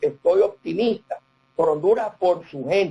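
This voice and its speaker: His intonation is fairly even throughout. The man's tone is dark and mellow. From Nicaragua. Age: 60s. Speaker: banker and business consultant. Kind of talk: interview.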